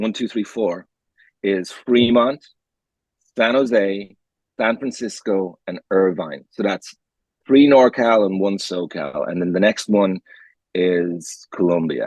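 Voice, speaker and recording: A man speaks very slowly in a fairly low voice, leaving long, frequent pauses. His pitch varies in an ordinary way, and the sound is dry and close with no echo. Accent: Irish. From Ireland. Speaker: podcast co-host. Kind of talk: casual chat.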